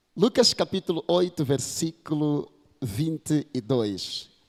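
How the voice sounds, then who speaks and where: A man with a Mozambican accent speaks at a fairly high pitch, his intonation swinging very widely. The sound is dry and close, with no echo. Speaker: pastor. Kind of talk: sermon.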